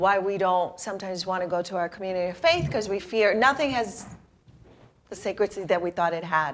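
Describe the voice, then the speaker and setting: On a very clean recording with a silent background, a woman speaks at a fairly quick pace in an ordinary speaking voice. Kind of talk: interview host.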